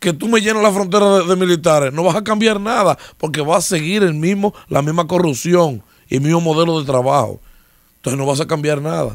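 A high-pitched man at a fairly quick pace against a quiet background. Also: ordinary pitch variation, dry sound with no echo. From Dominican Republic. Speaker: political commentator. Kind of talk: casual political discussion. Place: studio. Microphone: studio mic.

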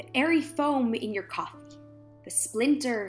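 A woman speaks with music in the background. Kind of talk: spoken word poetry reading.

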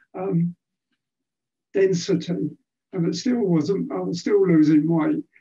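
Against a quiet background, a man with a high pitch and a dark, mellow tone talks at a fairly slow pace. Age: 80s+. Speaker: podcast guest. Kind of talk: interview answer. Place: home room. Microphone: video call.

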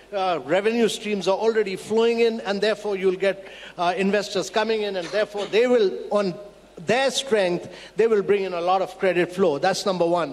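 Ordinary pitch variation at a fairly quick pace. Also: man, high pitch for a man. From India. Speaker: government policy official; panelist. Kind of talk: panel discussion. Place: hall. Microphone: handheld.

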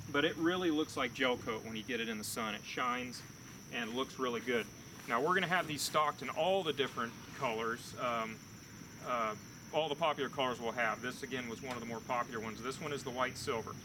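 With noticeable background noise, a man talks at a very fast pace and ordinary pitch variation. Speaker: boat dealer salesman. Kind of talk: product walkthrough. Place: open country.

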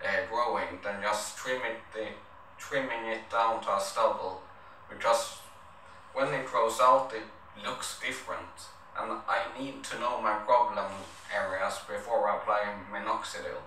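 A man with a non-native accent speaks at a fairly slow pace. Audible room echo and light background noise surround his voice. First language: not English. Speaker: vlogger. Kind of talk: casual talk to camera. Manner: hesitant, stuttering. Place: home room.

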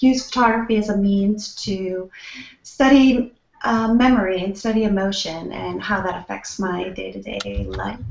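Big swings in loudness mark a woman's voice, heard with audible room echo. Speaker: creative consultant. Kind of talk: casual chat. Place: home room. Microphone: video call.

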